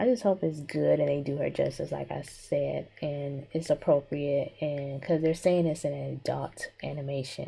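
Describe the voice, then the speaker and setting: A woman speaks quietly. Her pace is fairly slow. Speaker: digital artist. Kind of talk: drawing tutorial with commentary.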